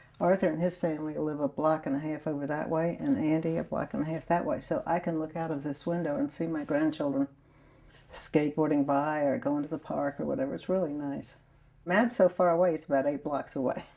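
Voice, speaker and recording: A woman's very deep, low pitch and dark, mellow tone in a New Orleans accent, with fairly even intonation at a fairly quick pace. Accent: New Orleans Southern US. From US South, New Orleans, Louisiana. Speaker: grandmother telling her life story. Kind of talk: oral history interview. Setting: sun room at home.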